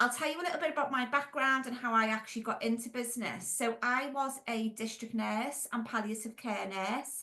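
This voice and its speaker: Bright, sharp woman's voice with a Merseyside accent, fairly high in pitch, moderate in pace, with ordinary pitch variation. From Merseyside, England (Wirral). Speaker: franchise business owner and consultant. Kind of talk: podcast interview.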